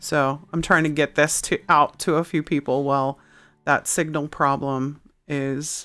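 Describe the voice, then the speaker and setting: A woman speaks loudly at a fairly slow pace, her very deep, low pitch carrying a bright, sharp tone. Her intonation is monotone and flat, and the recording is very clean with a silent background. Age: middle-aged. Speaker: livestream host. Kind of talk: casual chat. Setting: livestream. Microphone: very close to the microphone.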